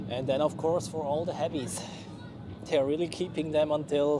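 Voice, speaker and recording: A man with a Swiss German accent talks at a moderate pace and a fairly high pitch. Noticeable background noise and audible room echo fill the recording. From Switzerland. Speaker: plane spotting livestreamer. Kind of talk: live commentary. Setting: outdoors. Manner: casual, chatty.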